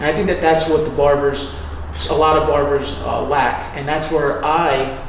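The speech moves at a moderate pace, with audible room echo and light background noise. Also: man. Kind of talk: interview answer. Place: home room.

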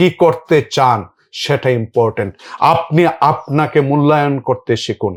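On a very clean recording with a silent background and a dry, close sound with no echo, a man with a plain, everyday voice speaks at a fairly high pitch with lively intonation and very even loudness. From rural Bangladesh. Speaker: economics professor. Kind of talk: interview.

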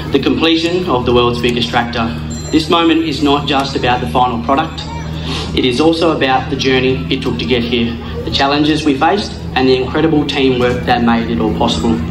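Over music in the background, a man speaks at a fairly quick pace. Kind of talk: prepared ceremony speech. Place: open country.

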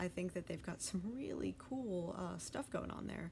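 With lively intonation, a woman speaks over light background noise. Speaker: hobby vlogger. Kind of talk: casual vlog chat. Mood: enthusiastic, light laughter. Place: home room. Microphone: phone near.

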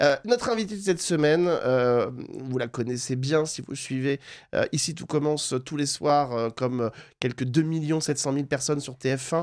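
A man speaks in an ordinary speaking voice at a fairly slow pace, his pitch fairly high with ordinary variation, over a quiet background. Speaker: TV show host. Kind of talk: interview. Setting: studio. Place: studio. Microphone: studio mic.

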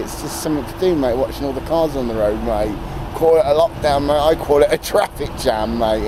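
Speaking at a fairly quick pace, a man comes through with noticeable background noise and a dry sound with no echo. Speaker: vlogger. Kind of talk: casual vlog chat. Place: street. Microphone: phone near.

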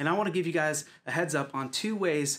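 You can hear a man in this clip. He talks at a fairly quick pace. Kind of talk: church announcements. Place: home room.

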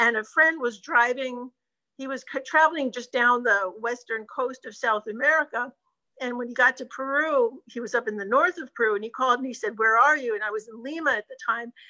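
High pitch for a woman, bright, sharp tone, ordinary pitch variation, fairly quick pace and big swings in loudness, over a quiet background. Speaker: travel business owner. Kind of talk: casual chat. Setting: video call. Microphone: video call.

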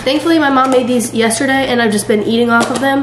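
Noticeable background noise sits behind a woman talking at a very fast pace. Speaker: vlogger. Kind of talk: casual vlog chat. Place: kitchen. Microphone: phone near.

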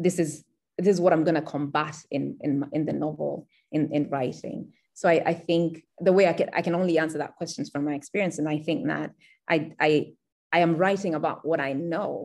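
A woman's very deep, low voice at a moderate pace, with fairly even intonation against a quiet background. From Kenya. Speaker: writer; interviewee. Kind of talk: interview. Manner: halting. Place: home room. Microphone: video call.

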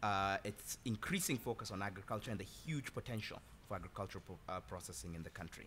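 Over light background noise, a man with a fairly low pitch, a bright, sharp tone and vocal fry speaks at a very fast pace. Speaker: consulting firm executive. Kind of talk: panel discussion. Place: hall.

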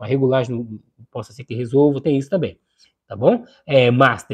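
Against a quiet background, a man talks in an animated tone. His pace is moderate. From Brazil, São Paulo city. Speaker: YouTube electronics repair streamer. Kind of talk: live stream chat with viewers. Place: home room. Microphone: lapel.

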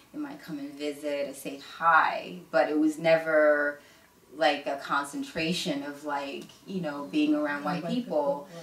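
Her pitch very deep and low, a woman speaks at a fairly slow pace with ordinary pitch variation and big swings in loudness, amid audible room echo and light background noise. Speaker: interview guest sharing her life story. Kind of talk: casual interview. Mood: reflective, personal story. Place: home room.

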